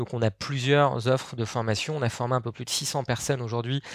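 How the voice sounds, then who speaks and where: In a normal speaking voice, a man talks at a moderate pace and medium pitch with fairly even intonation, recorded very cleanly against a silent background. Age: 30s. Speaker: startup co-founder and sales trainer. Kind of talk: podcast interview.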